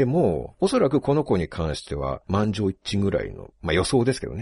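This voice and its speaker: A man speaks at a fairly quick pace in a fairly low voice with vocal fry and a dark, mellow tone. His pitch swings very widely, and the sound is dry and close with no echo. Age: 40s. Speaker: writer and podcast host. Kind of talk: casual chat.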